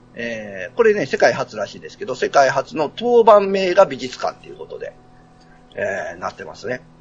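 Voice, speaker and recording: A man speaks at a moderate pace with big swings in loudness. Noticeable background noise is present. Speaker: podcaster guest. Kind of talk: casual chat.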